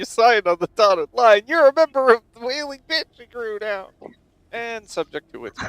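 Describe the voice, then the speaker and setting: The voice is a put-on character. It moves at a moderate pace. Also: man, extremely high pitch for a man. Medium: actual play. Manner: curt, businesslike.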